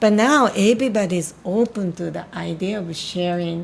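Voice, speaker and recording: The speaker has a Japanese accent and a fairly slow pace. Pitch variation is ordinary. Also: woman. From Japan, Tokyo. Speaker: spiritual healer. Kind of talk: casual chat. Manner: halting.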